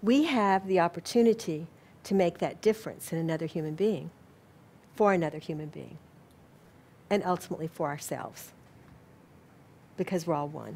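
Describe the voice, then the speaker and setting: A woman with an American accent speaks in a dark, mellow tone at a fairly low pitch, with ordinary pitch variation and long, frequent pauses. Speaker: spiritual organization president and lecturer. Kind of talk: lecture; audience Q&A. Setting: lecture hall with live audience.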